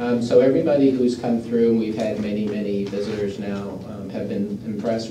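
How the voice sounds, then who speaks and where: A man at a moderate pace amid audible room echo and noticeable background noise. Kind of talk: report to a board. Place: meeting room.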